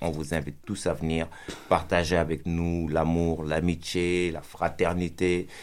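Speaking with a Senegalese accent, a man uses a very deep, low pitch and monotone, flat intonation. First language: Pulaar (speaking French). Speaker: rapper. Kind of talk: interview. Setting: studio.

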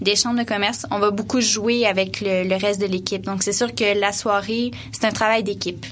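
Amid noticeable background noise, a woman at medium pitch speaks at a moderate pace with fairly even intonation. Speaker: event coordinator. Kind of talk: radio interview.

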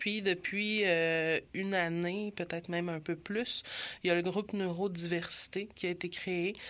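A woman in a normal speaking voice, pitched fairly low, with fairly even intonation and a fairly slow pace. The recording is very clean, with a silent background. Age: 30s. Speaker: LGBTQ youth community worker. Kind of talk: interview.

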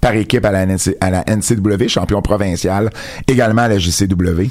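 A man speaks at a fairly slow pace in a fairly low pitch, with noticeable background noise behind him. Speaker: wrestling radio show host. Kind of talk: casual radio chat. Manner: repetitive, stammering restarts.

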